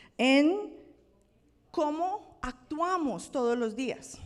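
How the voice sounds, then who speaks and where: A woman is speaking. She has a Colombian accent. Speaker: pastor. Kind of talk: sermon. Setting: church.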